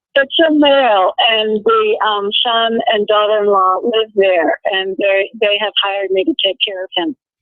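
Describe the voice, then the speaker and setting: In a normal speaking voice, the speaker goes at a fairly slow pace with hardly any pauses and ordinary pitch variation. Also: woman, fairly high pitch for a woman. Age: 60s. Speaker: caller, nursing assistant. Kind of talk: phone call-in conversation.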